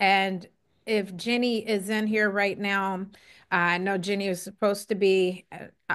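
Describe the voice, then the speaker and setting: Against a quiet background, a woman with an American accent uses a plain, everyday voice at a medium pitch, speaking at a fairly slow pace with fairly even intonation. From Ohio, Cincinnati area (Lincoln Heights). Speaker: speaker at a poetry tribute. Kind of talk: tribute speech with poetry reading.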